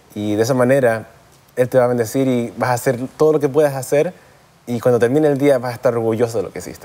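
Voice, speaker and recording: Speaking at a medium pitch, a man has a dark, mellow tone and ordinary pitch variation. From US, raised partly in Chile and Canada. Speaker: dental school student; guest. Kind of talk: interview. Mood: warm, earnest, smiling. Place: studio.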